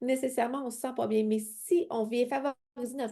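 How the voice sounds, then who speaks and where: An animated woman speaks with a Quebec accent at a moderate pace. Her pitch is high, with ordinary pitch variation. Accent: Québécois French. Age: 40s. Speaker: independent sales consultant. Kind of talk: sales pitch.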